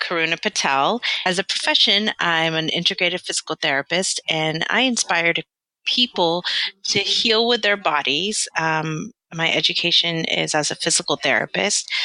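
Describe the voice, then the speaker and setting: With an American accent, a woman talks at a moderate pace in a fairly low, bright and sharp voice, her loudness very even and her pitch varying in an ordinary way, in a dry, close sound with no echo. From London, then US South and Southern California. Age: 40s. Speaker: physical therapist. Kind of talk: interview.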